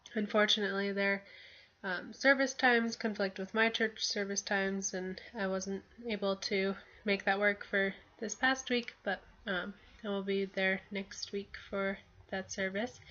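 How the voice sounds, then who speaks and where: In a flat monotone, a woman with a medium pitch speaks at a fairly slow pace. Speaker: student. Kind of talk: class assignment video report. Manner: hesitant, many fillers.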